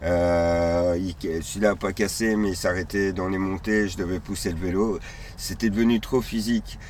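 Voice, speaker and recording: A man with a very deep, low pitch talks at a fairly slow pace, keeping his intonation fairly even. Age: 40s. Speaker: nomadic cyclist traveller. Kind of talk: interview. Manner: halting.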